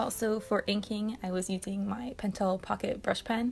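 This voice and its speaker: A woman speaks with a somewhat breathy voice. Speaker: art channel creator. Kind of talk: art process voiceover. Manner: hesitant, many filler words.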